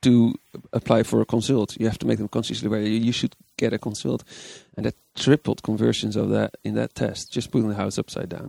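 A man with a Dutch accent talks at a fairly quick pace in a dry, close sound with no echo. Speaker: persuasion psychology consultant. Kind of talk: interview. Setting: conference venue.

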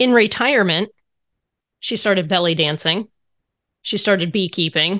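A woman speaks at a moderate pace with ordinary pitch variation. The sound is dry and close with no echo, and the background is quiet. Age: 40s. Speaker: podcast host and financial coach. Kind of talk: casual interview.

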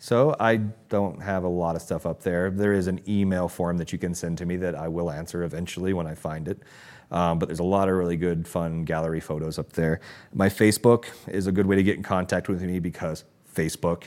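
In a very clean recording with a silent background, a man with a very deep, low pitch talks at a fairly quick pace with fairly even intonation. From US South, Georgia. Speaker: leather craftsman and artist. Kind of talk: casual interview.

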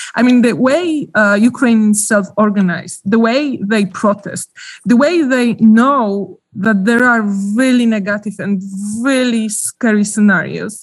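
A woman with a Polish accent, fairly high in pitch and somewhat breathy, at a fairly slow pace, with ordinary pitch variation and very even loudness. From Poland. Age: 40s. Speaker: journalist. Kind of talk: interview. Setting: remote call from Ukraine. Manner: halting.

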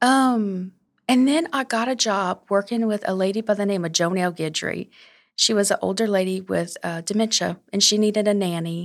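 In a very clean recording with a silent background, a woman with an unremarkable speaking voice talks at a moderate pace and medium pitch, with ordinary pitch variation. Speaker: small business owner, seamstress. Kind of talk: casual interview chat. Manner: sweet, friendly.

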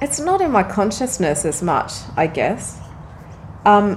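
The speaker has an Australian accent. Audible room echo can be heard. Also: woman. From Australia, Frankston near Melbourne. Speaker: dancer and choreographer. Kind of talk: casual interview.

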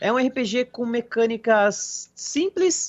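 A man's voice with very wide pitch swings. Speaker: gaming podcast co-host. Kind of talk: casual chat.

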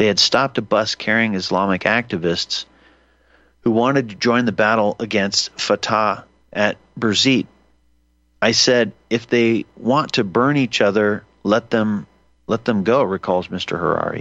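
With an unremarkable speaking voice, a man talks at a fairly slow pace in a fairly low pitch, his loudness very even. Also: ordinary pitch variation. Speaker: radio host. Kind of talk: live talk radio monologue. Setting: studio. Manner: rambling, self-correcting, conversational; casual, digressive, filler-heavy.

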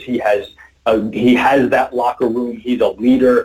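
An American-accented man at medium pitch, with ordinary pitch variation and a moderate pace. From New York City (Queens). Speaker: sports journalist. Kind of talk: casual chat.

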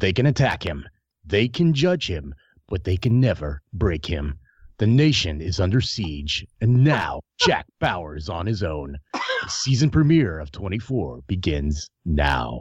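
A man with an American accent speaks very slowly, somewhat breathy, in a very deep, low pitch. His pitch swings very widely. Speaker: podcast co-host. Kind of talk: casual chat.

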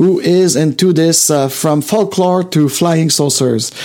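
An animated, enthusiastic man with ordinary pitch variation, over noticeable background noise. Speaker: video podcast host. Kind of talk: solo live-stream monologue. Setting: home studio, live stream.

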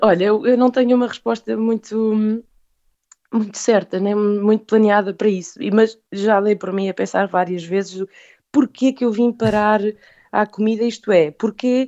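Fairly slow delivery and fairly even intonation in a plain, everyday voice. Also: woman, fairly high pitch for a woman. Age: 30s. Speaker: food business founder. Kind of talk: interview.

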